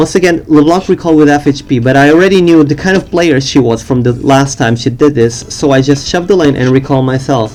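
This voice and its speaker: Music plays in the background as a man with a fairly high pitch talks at a fairly quick pace with ordinary pitch variation. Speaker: gamer. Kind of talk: game tutorial commentary. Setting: low-quality home recording.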